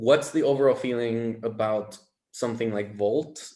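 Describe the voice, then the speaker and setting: An ordinary speaking voice in an American accent moves at a moderate pace with ordinary pitch variation. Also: man. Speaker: audience member asking questions. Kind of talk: audience question.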